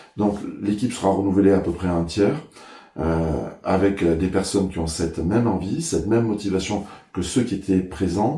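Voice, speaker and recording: At a moderate pace, a man with a very deep, low pitch and a dark, mellow tone talks somewhat breathily with ordinary pitch variation, and the room echo is audible. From Ariège, French Pyrenees. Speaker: mayor, election candidate. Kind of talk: interview. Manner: hesitant, many filler sounds.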